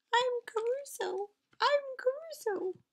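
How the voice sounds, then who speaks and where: A put-on character voice, soft-spoken and squeaky, at an extremely high pitch. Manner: soft, timid.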